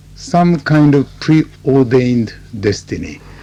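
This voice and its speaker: Lively intonation from a man at a fairly high pitch, very slow pace, over noticeable background noise. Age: 60s. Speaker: interpreter and company chairman. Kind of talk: radio interview. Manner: halting.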